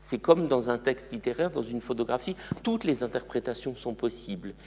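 At a moderate pace, a man speaks with vocal fry. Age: 60s. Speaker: museum curator. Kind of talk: lecture.

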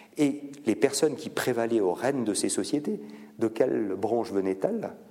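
With a dark, mellow tone and medium pitch, a man talks at a fairly slow pace using lively intonation. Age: 50s. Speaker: biotech foundation director and professor. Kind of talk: public lecture with Q&A. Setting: conference hall with audience.

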